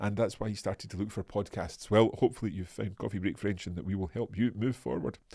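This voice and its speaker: Speaking at a very fast pace with hardly any pauses, a man has a fairly low pitch, a dark, mellow tone and vocal fry. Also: ordinary pitch variation. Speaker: language teacher. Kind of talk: live online lesson. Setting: live stream. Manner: hesitant fillers.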